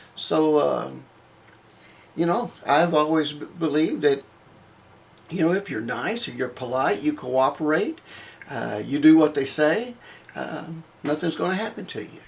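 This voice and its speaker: This man's pitch sits fairly high, and his intonation is lively. His loudness swings widely, with long, frequent pauses. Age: 60s. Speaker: former Baptist minister. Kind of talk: personal testimony monologue. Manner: hesitant, many fillers.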